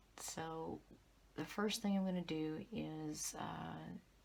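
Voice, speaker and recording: A quiet woman's voice. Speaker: tarot reader. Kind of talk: tarot reading. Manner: quiet, low voice. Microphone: audio issues, fix coming.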